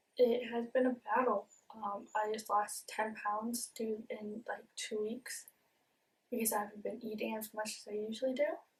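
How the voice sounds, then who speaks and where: A woman speaks at a fairly high pitch in a monotone, flat delivery. Her voice is somewhat breathy. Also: moderate pace. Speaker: vlogger. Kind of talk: personal vlog about mental health. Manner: hesitant, many fillers and repeats.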